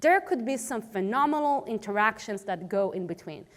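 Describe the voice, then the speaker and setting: A woman's fairly high voice with an Israeli accent, very wide pitch swings and a moderate pace. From Israel, Tel Aviv. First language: Hebrew. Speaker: cybersecurity policy expert, conference speaker. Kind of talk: conference talk.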